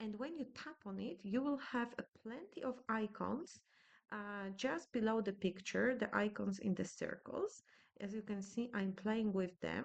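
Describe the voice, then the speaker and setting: In a Polish accent, the speaker goes at a fairly slow pace with ordinary pitch variation. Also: woman, fairly high pitch for a woman. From Poland. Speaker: scrapbooking youtuber. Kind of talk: tutorial. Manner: hesitant, with many filler sounds.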